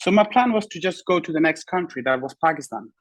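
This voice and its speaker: At a fairly quick pace, a man speaks with an Afghan accent and ordinary pitch variation. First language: Pashto. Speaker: bodybuilder. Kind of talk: interview. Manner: halting.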